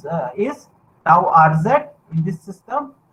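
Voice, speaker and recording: This man has an Indian accent. He talks at a fairly slow pace. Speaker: university lecturer. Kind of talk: lecture.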